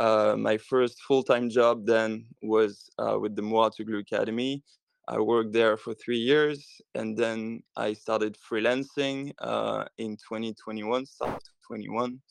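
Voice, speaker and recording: A man at a very slow pace, with monotone, flat intonation, a quiet background and a dry, close sound with no echo. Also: medium pitch for a man. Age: 20s. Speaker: tennis social media and marketing professional. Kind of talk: podcast interview. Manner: hesitant, many fillers.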